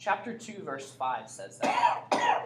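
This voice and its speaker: A woman's voice with audible room echo. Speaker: Bible teacher. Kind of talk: Bible class lecture with questions. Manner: casual, conversational.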